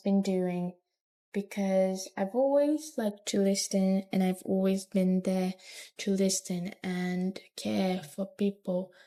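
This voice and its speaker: A quiet woman's voice with a dark, mellow tone, fairly even intonation and a very slow pace. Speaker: vlogger. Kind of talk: personal monologue to camera. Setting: talking to camera alone. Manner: quiet, low volume; halting, hesitant with restarts.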